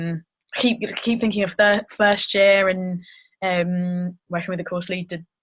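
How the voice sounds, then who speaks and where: Somewhat breathy and flat in intonation, a woman speaks in a monotone at a moderate pace and medium pitch. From southern England (Brighton). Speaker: acting student. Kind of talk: group interview. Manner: hesitant.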